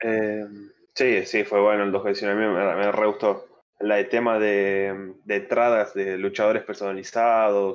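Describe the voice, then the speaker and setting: In a monotone, flat delivery, a man speaks at a fairly slow pace with a fairly low pitch. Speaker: podcast guest, wrestling fan. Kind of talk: casual chat. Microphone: new microphone.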